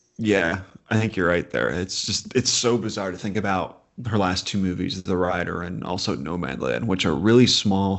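A speaker with an American accent talks at a moderate pace, with vocal fry and ordinary pitch variation. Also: man. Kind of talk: casual chat about upcoming films.

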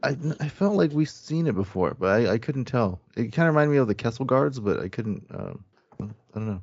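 A man's voice with an American accent, medium in pitch, an ordinary speaking voice at a fairly quick pace with lively intonation. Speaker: podcast panelist. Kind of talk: casual chat. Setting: video call.

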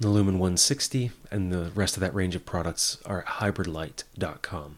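In a very clean recording with a silent background, a man with a plain, everyday voice speaks at a fairly low pitch. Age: 30s. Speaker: podcast host. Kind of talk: scripted narration.

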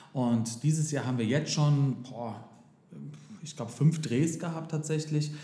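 Speaking at a fairly slow pace with long, frequent pauses, a man with a fairly high pitch sounds somewhat breathy, his tone dark and mellow, his intonation fairly even, and audible room echo around him. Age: 30s. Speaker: daycare center director and singer. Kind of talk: interview.

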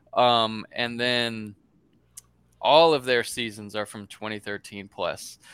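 A man's medium-pitched voice at a very slow pace, fairly even in intonation, with big swings in loudness, on a very clean recording against a silent background. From US South, Florida. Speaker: podcast co-host, site founder. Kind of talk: casual chat.

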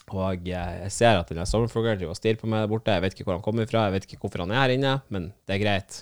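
On a very clean recording with a silent background, a man with a fairly low pitch speaks at a very fast pace in an animated tone, with ordinary pitch variation. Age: 30s. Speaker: podcast host. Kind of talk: casual monologue.

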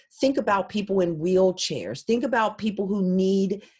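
A woman speaks at a medium pitch with an American accent. Her voice is somewhat breathy. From Philadelphia, US. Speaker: genealogist and technology consultant. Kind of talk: interview.

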